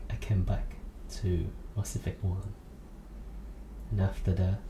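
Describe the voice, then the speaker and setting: A soft-spoken man at a very slow pace, ordinary pitch variation, noticeable background noise behind him. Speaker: ASMR creator. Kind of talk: ASMR rambling monologue.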